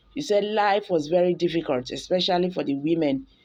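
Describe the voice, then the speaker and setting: A woman talks with ordinary pitch variation. Music plays in the background. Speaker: news channel host. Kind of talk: news report narration.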